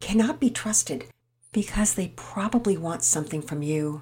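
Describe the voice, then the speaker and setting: This woman's voice has a fairly low pitch and a dark, mellow tone. It is somewhat breathy, with lively intonation. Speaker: children's storyteller. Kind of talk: reading aloud; religious lesson.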